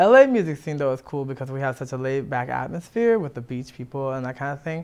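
A man with an American accent talks at a very fast pace with a fairly high pitch and ordinary pitch variation. His loudness swings widely. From Washington DC. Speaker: musician; guest. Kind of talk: interview. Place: studio. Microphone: lapel.

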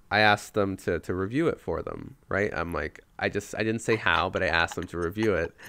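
Talking at a fairly quick pace, the man has a fairly low pitch, ordinary pitch variation and a bright, sharp tone. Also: very clean recording, silent background. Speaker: gaming podcaster. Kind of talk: casual chat.

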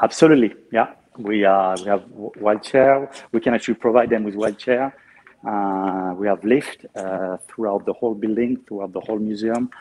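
A man with a French accent speaks at a moderate pace, his fairly low voice staying fairly even in intonation. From Normandy, France (Caen); Normandy, France. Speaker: museum guide. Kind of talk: guided tour. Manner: talkative.

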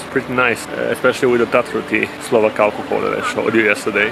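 A man talks at a fairly quick pace, with music playing behind him. The sound is dry, with no echo. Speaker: travel vlogger. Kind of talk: casual vlog chat. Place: open country. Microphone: phone near.

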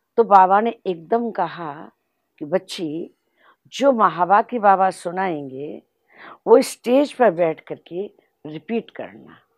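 Over a quiet background with a dry sound and no echo, a woman speaks very slowly with lively intonation, big swings in loudness and long, frequent pauses. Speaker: spiritual teacher and regional head of a spiritual organisation; spiritual teacher. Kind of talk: spiritual testimony. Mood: calm, devotional storytelling. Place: home room.

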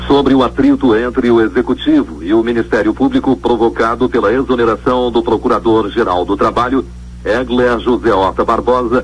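Keeping a very even loudness, a man speaks at a moderate pace. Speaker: radio news announcer. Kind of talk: radio news bulletin read. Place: studio.

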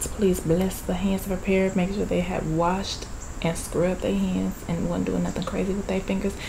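A woman talking at a fairly quick pace over noticeable background noise. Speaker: mukbang vlogger. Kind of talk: casual vlog chat. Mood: playful, joking. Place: home room. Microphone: phone near.

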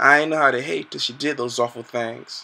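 A man talks at a moderate pace with a bright, sharp tone. His intonation is monotone and flat. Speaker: poet. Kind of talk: spoken word poem. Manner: rhythmic, pleading, emotional delivery. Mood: hurt, plaintive. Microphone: webcam.

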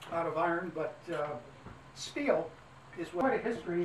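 There is noticeable background noise. The pace is fairly slow. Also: man. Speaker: trolley guide. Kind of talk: tour guide commentary. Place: train. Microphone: camera far.

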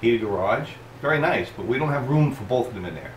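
Light background noise and audible room echo surround a man whose pitch shows ordinary variation. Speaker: boating channel host. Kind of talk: tutorial. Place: workshop. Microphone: camera far.

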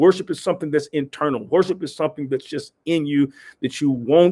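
The speaker moves at a fairly quick pace with ordinary pitch variation. The background is quiet. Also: man. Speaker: pastor or preacher. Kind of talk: devotional sermon talk. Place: office. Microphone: webcam.

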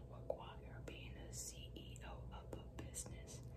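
A gentle tone at a very slow pace, with noticeable background noise. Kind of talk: ASMR positive affirmations for sleep. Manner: slow, gentle, repetitive, whispery.

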